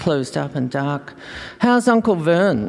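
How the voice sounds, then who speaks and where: With an Australian accent, a woman speaks at a moderate pace in a very deep, low pitch that swings very widely. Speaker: fiction writer. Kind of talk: reading aloud.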